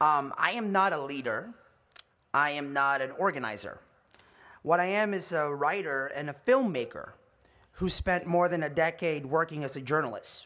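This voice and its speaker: A man's fairly high, bright, sharp voice with a Californian accent, ordinary pitch variation, a moderate pace and long, frequent pauses, over a quiet background. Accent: American (California). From Philippines, raised in California from childhood. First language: Tagalog. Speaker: commencement speaker, journalist and filmmaker. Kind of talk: commencement address. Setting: stage with audience.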